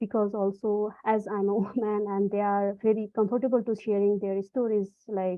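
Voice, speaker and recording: Her pitch sits in the medium range, her intonation monotone and flat. The woman speaks at a moderate pace. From Nepal. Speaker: photographer. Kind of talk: interview answer. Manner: halting, many fillers.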